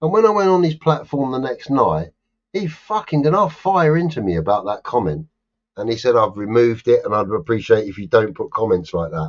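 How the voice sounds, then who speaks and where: An animated tone with very wide pitch swings at a fairly quick pace. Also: man, medium pitch for a man. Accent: London. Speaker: live stream host. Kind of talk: casual chat. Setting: live stream.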